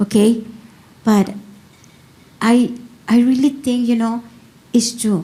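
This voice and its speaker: Fairly high-pitched, a woman talks at a very slow pace with long, frequent pauses. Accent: Spanish. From Mexico. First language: Spanish. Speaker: workshop participant. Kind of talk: casual sharing. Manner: halting.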